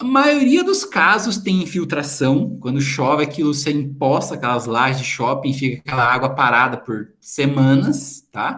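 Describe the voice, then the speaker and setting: There is audible room echo as a man speaks at a moderate pace, his pitch fairly high and his tone animated. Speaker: teacher. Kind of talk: lecture. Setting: video call.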